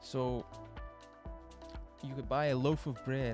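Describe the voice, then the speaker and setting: Music plays in the background while a man talks at a moderate tempo. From Australia. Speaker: podcast host. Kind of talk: casual podcast commentary. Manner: rambling, hesitant.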